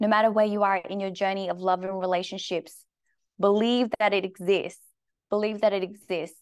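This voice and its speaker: Her tone is animated as the woman talks at a moderate pace in a medium pitch. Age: 30s. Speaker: health and performance coach. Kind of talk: casual live-stream monologue. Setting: Instagram live video.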